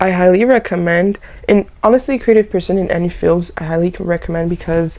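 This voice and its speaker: With a French accent, a woman speaks in a dark, mellow tone. Her pitch varies in an ordinary way. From Haitian background. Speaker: lifestyle YouTuber. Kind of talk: casual vlog chat. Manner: animated.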